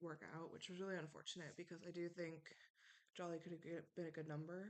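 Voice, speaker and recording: Quiet and very fast, a woman speaks in a fairly low pitch. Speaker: online reality game contestant. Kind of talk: speech to jury, casual monologue. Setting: home, recorded at night. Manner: hesitant, many ums; quiet, late at night.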